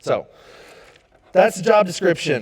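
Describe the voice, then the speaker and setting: A man with an American accent. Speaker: youth pastor. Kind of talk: volunteer training talk. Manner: loud; high energy.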